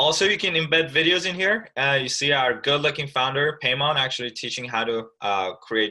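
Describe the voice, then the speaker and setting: Talking at a fairly quick pace, a man with vocal fry and a bright, sharp tone moves through very wide pitch swings. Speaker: software webinar presenter. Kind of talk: tutorial. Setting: live webinar with screen sharing. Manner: fast.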